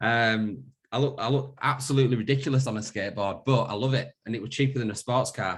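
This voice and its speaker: A man with a Yorkshire accent and ordinary pitch variation. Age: 30s. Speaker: wellbeing company founder. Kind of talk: webinar presentation. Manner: hesitant, many repetitions.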